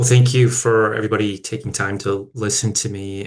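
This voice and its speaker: Against a quiet background, a man with an American accent talks fairly quickly at a fairly low pitch, in a monotone, flat intonation. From rural Minnesota, US. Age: 40s. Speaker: company founder and CEO. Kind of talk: personal business story in webinar. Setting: video webinar.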